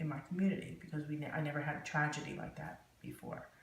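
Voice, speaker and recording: This woman's voice is pitched very deep and low. Vocal fry runs through it. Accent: New Jersey. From New Jersey, USA. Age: 50s. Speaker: court reporter. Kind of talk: oral history interview answer.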